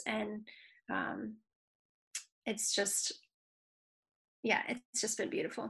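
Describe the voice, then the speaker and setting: A woman speaks with an American accent in a bright, sharp tone. Her voice shows vocal fry. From Michigan. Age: 40s. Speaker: music industry consultant and youth group leader. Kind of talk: casual interview chat.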